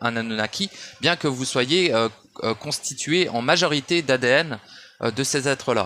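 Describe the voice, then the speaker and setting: Speaking at a moderate pace, a man with fairly high pitch uses lively intonation. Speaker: esoteric audio commentator. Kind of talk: monologue rant. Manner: shouting; halting.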